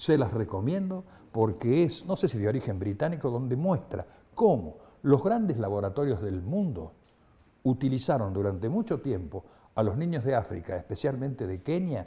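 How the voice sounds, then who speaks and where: This man has a medium pitch and a dark, mellow, somewhat breathy tone. He moves at a moderate pace with very wide pitch swings. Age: 70s. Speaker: human rights activist. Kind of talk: interview testimony. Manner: halting, with repetitions and fillers.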